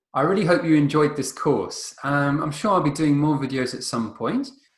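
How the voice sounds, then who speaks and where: A man speaks in a fairly high pitch. His voice is somewhat breathy, and his pace is fairly quick. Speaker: chess teacher. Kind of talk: tutorial. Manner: halting, many fillers.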